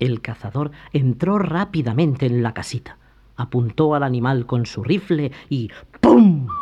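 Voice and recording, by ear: Someone is reading aloud in a natural voice. The delivery is kept that way throughout.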